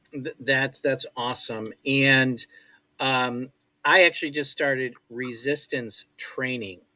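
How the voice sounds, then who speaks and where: At a very slow pace, a man speaks in a medium pitch with a bright, sharp tone and fairly even intonation. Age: 60s. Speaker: talk show host. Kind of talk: show outro; interview. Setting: live stream.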